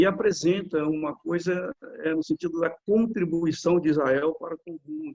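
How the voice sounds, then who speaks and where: A man at a very slow pace with lively intonation. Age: 60s. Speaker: lawyer and author, retired police officer. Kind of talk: interview. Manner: halting, with frequent fillers and repetitions.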